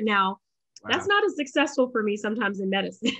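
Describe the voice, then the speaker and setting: A very fast pace in an American accent, against a quiet background. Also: woman. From US South, Charlotte, North Carolina. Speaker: physician and entrepreneur; podcast guest. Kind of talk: casual interview. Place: home room. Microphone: webcam.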